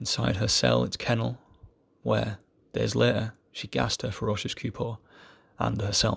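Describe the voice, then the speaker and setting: The voice has vocal fry and very wide pitch swings, broken by long, frequent pauses. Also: man, fairly low pitch for a man. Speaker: amateur poetry reader. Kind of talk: reading aloud. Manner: fast.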